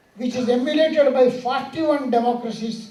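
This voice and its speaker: Over noticeable background noise and audible room echo, a man with a Telangana accent speaks at an extremely high pitch. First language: Telugu (speaking Hindi). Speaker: speaker at award ceremony. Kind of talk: ceremonial speech.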